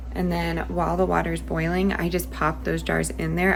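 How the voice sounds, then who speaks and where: A soft-spoken woman talks at a moderate pace with a very deep, low pitch. Her intonation stays fairly even, with light background noise behind her. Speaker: homesteading vlogger. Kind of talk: tutorial. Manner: quiet. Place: kitchen. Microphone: phone near.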